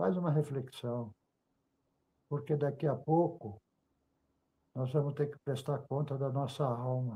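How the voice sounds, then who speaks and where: A dark, mellow tone, somewhat breathy, at a very slow pace with ordinary pitch variation. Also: man. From Brazil, Volta Redonda, Rio de Janeiro state. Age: 70s. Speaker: church member giving testimony. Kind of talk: religious testimony and exhortation.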